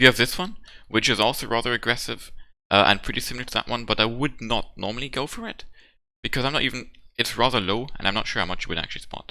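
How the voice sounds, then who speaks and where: Mumbling at a very fast pace, a man talks at a medium pitch with ordinary pitch variation and a bright, sharp tone. The recording is very clean with a silent background. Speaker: gaming video creator. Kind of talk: gameplay tutorial with replay commentary. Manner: hesitant, many fillers; slightly mumbling.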